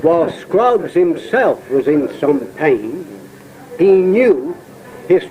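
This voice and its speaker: Over noticeable background noise, a man speaks very slowly in a high pitch that swings very widely. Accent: Dorset. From Isle of Portland, Dorset. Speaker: poet and raconteur. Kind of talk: poetry reading, dialect verse.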